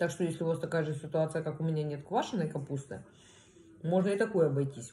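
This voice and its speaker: Very fast and somewhat breathy, a woman speaks with a dark, mellow tone and a very deep, low pitch. Her pitch variation is ordinary, and there is light background noise. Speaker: food vlogger. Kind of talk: casual mukbang vlog chat. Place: home room. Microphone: phone near.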